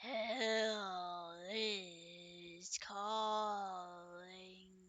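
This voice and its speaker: This raspy put-on character voice sits at a middle pitch. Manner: menacing, grasping.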